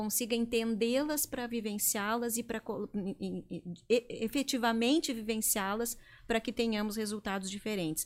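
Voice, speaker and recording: An ordinary speaking voice from a woman, fairly high in pitch, with fairly even intonation and a fairly slow pace, on a very clean recording with a silent background. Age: 40s. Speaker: leadership consultant. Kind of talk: interview. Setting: studio.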